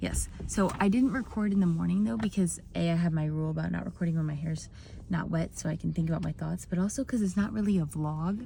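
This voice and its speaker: A woman talks very fast at a fairly low pitch with lively intonation. Her voice is somewhat breathy. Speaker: vlogger. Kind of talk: casual chat. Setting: in a car.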